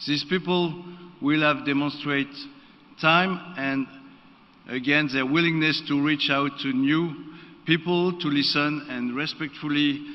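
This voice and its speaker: Fairly high in pitch, a man speaks at a very slow pace with fairly even intonation. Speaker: board member of an internet governance body. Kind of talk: formal speech. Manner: formal.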